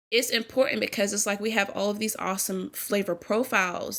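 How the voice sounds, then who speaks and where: In an American accent, the speaker talks at a fairly quick pace in an animated tone over noticeable background noise. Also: woman. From US Virgin Islands (St. Thomas). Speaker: small business owner, baker. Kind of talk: podcast interview. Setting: podcast recording.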